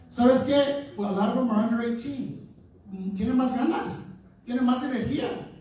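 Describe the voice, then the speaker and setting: An animated man at an extremely high pitch and moderate pace, amid noticeable background noise and audible room echo. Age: 60s. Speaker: advocacy organization leader. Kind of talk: town hall speech. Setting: town hall meeting with audience.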